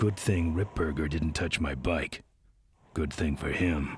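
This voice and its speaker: Using a put-on character voice, a man speaks at a fairly slow pace with a very deep, low pitch. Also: fairly even intonation. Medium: video game. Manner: terse, gravelly deadpan.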